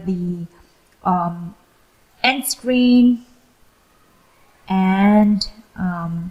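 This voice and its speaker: Somewhat breathy, a woman with a non-native accent talks with ordinary pitch variation. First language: not English. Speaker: YouTuber, freelancer. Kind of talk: tutorial. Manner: slow; hesitant, many fillers.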